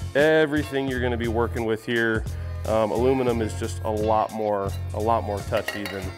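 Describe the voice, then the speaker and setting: Over clear music in the background, a man talks at a fairly quick pace with ordinary pitch variation. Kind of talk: tutorial. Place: workshop.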